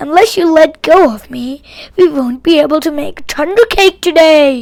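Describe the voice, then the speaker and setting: A woman speaks softly in a high, croaky put-on character voice, her pitch varying in an ordinary way. Her pace is moderate, and her loudness swings widely. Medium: read story. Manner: calm, soothing, folksy.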